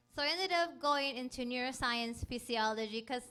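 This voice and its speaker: A woman with a high, bright, sharp voice speaks at a moderate pace with lively intonation. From Mexico, Ensenada. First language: Spanish. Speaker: STEM program director. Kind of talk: panel talk to students.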